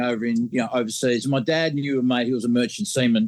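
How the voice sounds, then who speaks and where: An Australian accent comes through as a man speaks at medium pitch. He talks at a fairly quick pace with fairly even intonation. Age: 60s. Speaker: mastering engineer. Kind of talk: casual interview. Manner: halting, many fillers.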